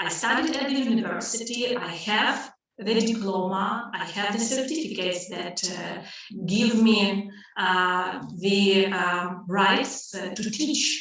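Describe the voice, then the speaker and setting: With noticeable background noise and audible room echo, a woman speaks at a very slow pace in a medium pitch with ordinary pitch variation. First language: Russian. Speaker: language teacher. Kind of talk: webinar lesson. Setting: live online webinar. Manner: loud. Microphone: voice echoing.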